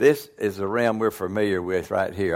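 A man talks at a very fast pace in a fairly low voice with ordinary pitch variation. The recording is very clean, with a silent background. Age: 80s+. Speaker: retired pastor, visiting preacher. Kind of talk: sermon. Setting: church.

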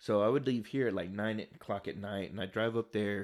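At a very fast pace, a man with a fairly low pitch and fairly even intonation speaks over a very clean recording with a silent background. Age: 30s. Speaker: podcast co-host. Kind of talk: casual chat.

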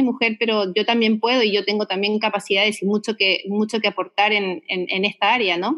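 A woman speaks with a Uruguayan accent. Her pitch is fairly high. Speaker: winemaker. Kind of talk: interview. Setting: remote call.

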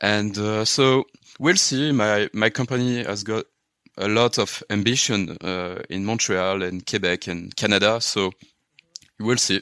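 With a strong French accent, a man talks at a fairly slow pace with ordinary pitch variation. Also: fairly low pitch for a man. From France, Paris; raised in Luxembourg. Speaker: software consultant. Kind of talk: casual interview. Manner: halting, many fillers.

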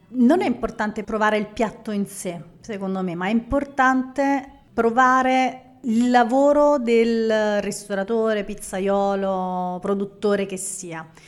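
With a fairly high voice and ordinary pitch movement, a woman talks very slowly. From Naples, Italy. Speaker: food photographer. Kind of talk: live podcast interview. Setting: live audience at a café venue.

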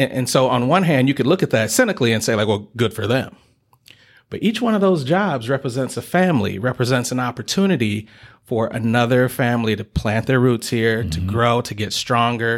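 An unremarkable speaking voice with an American accent moves at a fairly quick pace with lively intonation in a very clean recording with a silent background. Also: man, medium pitch for a man. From Detroit, Michigan. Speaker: chamber of commerce director. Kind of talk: interview. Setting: business center meeting space.

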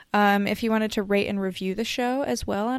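A woman talks at a fairly quick pace in a normal speaking voice, at medium pitch with ordinary pitch variation. The recording is very clean, with a silent background. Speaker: podcast co-host. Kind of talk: casual banter between co-hosts, podcast.

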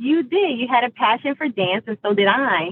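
A woman with a plain, everyday voice, ordinary pitch variation and a moderate pace. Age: 40s. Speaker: military veteran and advocate for homeless veterans. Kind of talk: casual chat.

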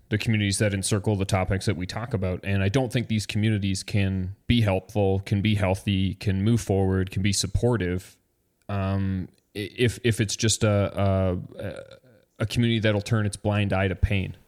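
In a very clean recording with a silent background, a man with a normal speaking voice and fairly low pitch talks at a moderate pace with fairly even intonation. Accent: Canadian. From Canada. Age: 30s. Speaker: podcast co-host. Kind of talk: casual chat.

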